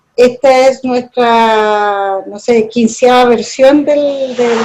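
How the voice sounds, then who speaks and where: The voice is a woman's, set at a fairly high pitch. She keeps her intonation fairly even. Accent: Chilean. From Chile. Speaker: university lecturer. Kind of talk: lecture. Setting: video call.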